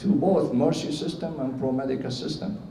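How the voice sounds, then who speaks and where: Someone with a Syrian Arabic accent speaks amid noticeable background noise and audible room echo. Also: man. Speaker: cardiologist. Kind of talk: award acceptance speech. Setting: stage with audience at awards ceremony. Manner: halting, many fillers.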